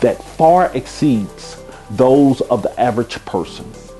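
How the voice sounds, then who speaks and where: A man at a very slow pace with very wide pitch swings, music in the background. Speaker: person who stutters, giving advice to stutterers. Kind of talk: public service announcement to camera. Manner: motivational, encouraging.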